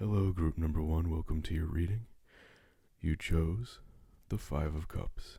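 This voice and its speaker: A man's very deep, low voice, somewhat breathy with a dark, mellow tone, fairly even intonation, a fairly slow pace and long, frequent pauses. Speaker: tarot reader. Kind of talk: tarot card reading.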